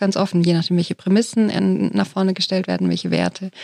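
In a dry, close recording with no echo, a woman talks at a moderate pace at medium pitch with ordinary pitch variation, in an ordinary speaking voice. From Germany. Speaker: theologian and foundation director. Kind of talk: panel discussion.

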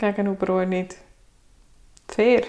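A woman talks with a Swiss accent. Her pitch is medium. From Switzerland. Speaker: guest sharing personal story. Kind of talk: interview.

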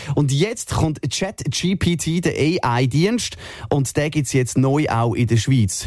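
This man's voice sits fairly high. He talks at a very slow pace. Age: 30s. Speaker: radio host. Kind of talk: casual chat. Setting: radio studio.

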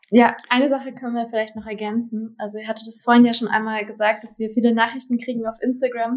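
A woman's fairly high voice in a flat monotone, very fast with hardly any pauses and big swings in loudness. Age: 20s. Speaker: partner of cancer patient. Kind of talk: interview.

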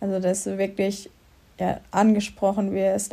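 A woman's dark, mellow tone at a medium pitch, with monotone, flat intonation and a moderate pace. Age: 20s. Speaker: master's student. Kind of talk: interview.

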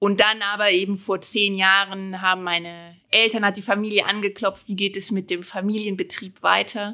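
At a moderate pace and medium pitch, a woman speaks in a bright, sharp tone with monotone, flat intonation and hardly any pauses, on a very clean recording with a silent background. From Germany, Moselle region. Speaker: winemaker and finance professional. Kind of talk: podcast interview.

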